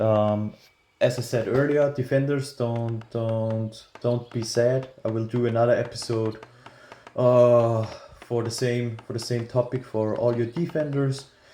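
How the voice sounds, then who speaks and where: Someone talks at a fairly slow pace with a non-native accent. Noticeable background noise sits behind the speech. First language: not English. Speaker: gaming YouTuber. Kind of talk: tutorial. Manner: hesitant, many fillers.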